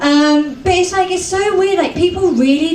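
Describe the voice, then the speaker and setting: Speaking at a moderate pace with a British accent, a woman is heard amid audible room echo and noticeable background noise. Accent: British accent, mistaken for Australian. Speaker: comedian. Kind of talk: stand-up. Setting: stage with audience.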